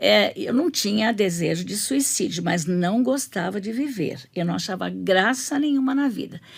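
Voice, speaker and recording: A woman speaks at a medium pitch and a fairly slow pace, with vocal fry. Her pitch swings very widely. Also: hardly any pauses. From Brazil, São Paulo. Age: 70s. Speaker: pastor's wife, women's ministry leader. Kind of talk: testimony.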